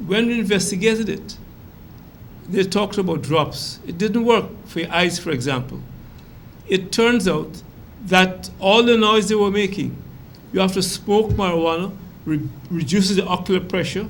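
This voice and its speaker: A man's high-pitched voice with ordinary pitch variation at a moderate pace, broken by long, frequent pauses, in audible room echo. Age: 80s+. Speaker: talk show panelist. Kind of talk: heated debate. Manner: animated.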